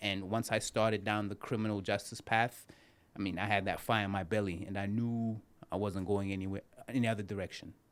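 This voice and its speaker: A man with a Zimbabwean accent and a fairly low pitch talks at a fairly quick pace in a monotone, flat intonation. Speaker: criminal defense attorney. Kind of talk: interview.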